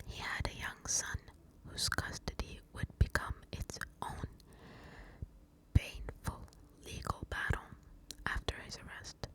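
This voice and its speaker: A woman whispers at a very slow pace. Noticeable background noise runs underneath. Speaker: ASMR true crime storyteller. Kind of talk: whispered true crime storytelling. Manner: whispered, soft.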